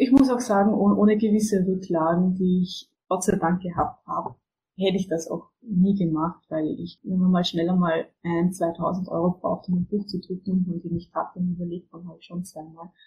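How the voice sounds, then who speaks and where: Somewhat breathy and dark, mellow in tone, a woman talks at a medium pitch with fairly even intonation. She keeps a moderate pace with hardly any pauses. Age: 20s. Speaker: book publisher and author. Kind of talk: interview. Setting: remote call from home. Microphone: poor audio quality, recording problems.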